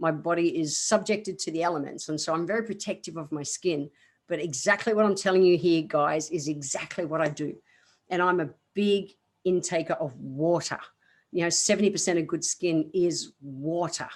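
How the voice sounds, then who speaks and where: Against a quiet background, a woman with an Australian accent speaks at a moderate pace, her pitch fairly low with ordinary variation. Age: 50s. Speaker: naturopath, podcast host. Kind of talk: health advice podcast. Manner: casual, chatty.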